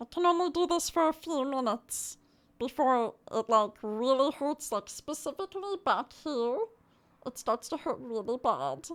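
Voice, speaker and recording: This put-on character voice sounds strained and moves at a moderate pace. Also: female-sounding voice, high pitch for a woman. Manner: playful, effortful.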